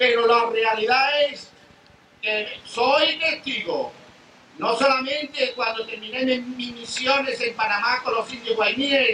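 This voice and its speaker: Amid noticeable background noise, a man speaks very slowly at an extremely high pitch with fairly even intonation. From Spain. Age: 70s. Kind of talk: testimony.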